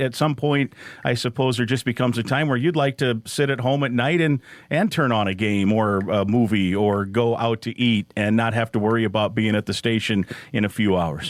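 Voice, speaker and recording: An unremarkable speaking voice moves at a moderate pace with ordinary pitch variation. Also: man. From Iowa. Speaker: podcast host and sports play-by-play announcer. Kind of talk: interview. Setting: studio.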